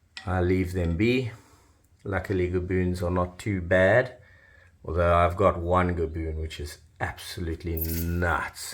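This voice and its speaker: A man speaks at a fairly slow pace with fairly even intonation. His voice is very deep, low and somewhat breathy. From South Africa. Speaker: reptile keeper. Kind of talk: casual video tour.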